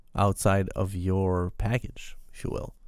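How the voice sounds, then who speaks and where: At a fairly slow pace, a man with a Quebec accent talks in a fairly low pitch with fairly even intonation, on a very clean recording with a silent background. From Quebec, Canada. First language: French. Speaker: software developer podcaster. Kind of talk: casual tech podcast monologue. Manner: hesitant with fillers and repetitions.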